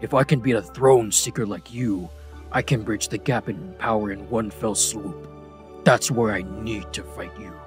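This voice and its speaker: In a put-on character voice with a fairly low pitch, a man speaks at a moderate pace while clear music plays in the background. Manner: pleading, then angry.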